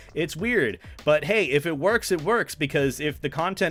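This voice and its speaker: Over music in the background, a man with a fairly high voice talks with lively intonation. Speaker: streamer. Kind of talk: livestream commentary. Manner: halting.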